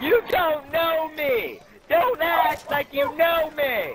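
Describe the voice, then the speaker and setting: A shouted, put-on character voice, high in pitch, at a very slow pace. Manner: yelling, angry.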